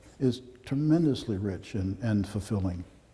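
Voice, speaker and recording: With ordinary pitch variation, the speaker has a dark, mellow tone and a somewhat breathy quality. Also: man. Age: 70s. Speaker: photographer. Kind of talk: gallery talk. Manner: halting.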